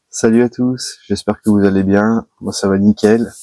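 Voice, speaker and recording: A soft-spoken man at a moderate pace, fairly even in intonation, with a dry, close sound and no echo. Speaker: carp angler, channel host. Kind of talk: vlog to camera. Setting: outdoors by a river at night. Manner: soft-spoken, quiet.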